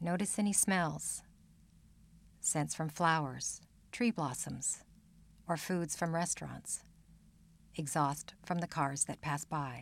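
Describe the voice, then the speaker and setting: A woman at a very slow pace in a calm, soothing tone, her very deep, low pitch touched with vocal fry and ordinary pitch variation, long, frequent pauses, on a very clean recording with a silent background. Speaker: meditation teacher. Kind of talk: guided meditation. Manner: slow, calm, soothing; gentle, unhurried, with long pauses.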